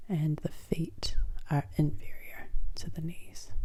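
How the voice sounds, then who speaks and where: The speaker is soft-spoken, with a gentle tone and a fairly slow pace. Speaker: ASMR creator; student. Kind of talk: ASMR educational tutorial. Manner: soft-spoken, gentle.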